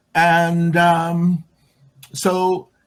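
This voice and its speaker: This man talks with an American accent. His voice is high-pitched. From Chicago. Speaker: LGBTQ and women's activist. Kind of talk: interview answer.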